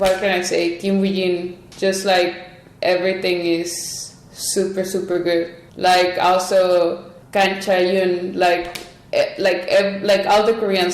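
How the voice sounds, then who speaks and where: Over noticeable background noise and audible room echo, a woman with a Spanish accent speaks fairly slowly at a medium pitch with monotone, flat intonation. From Mexico. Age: 20s. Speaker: Olympic archer. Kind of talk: podcast interview. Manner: casual, filler-heavy.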